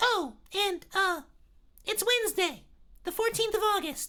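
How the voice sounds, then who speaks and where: A man's squeaky, shrill put-on character voice, extremely high in pitch, at a fairly slow pace. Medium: read story. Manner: entitled, whiny, overdramatic.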